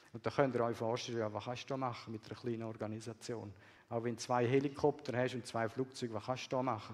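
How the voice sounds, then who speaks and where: A man speaks very fast at a medium pitch, with vocal fry. His intonation is monotone and flat. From Swiss, raised partly in Peru and Bolivia. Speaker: missionary. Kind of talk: sermon.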